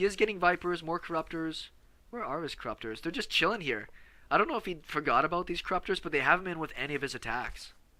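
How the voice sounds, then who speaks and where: A man's high voice with a bright, sharp tone, lively intonation and a very fast pace. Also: very clean recording, silent background. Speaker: game caster. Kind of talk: live commentary.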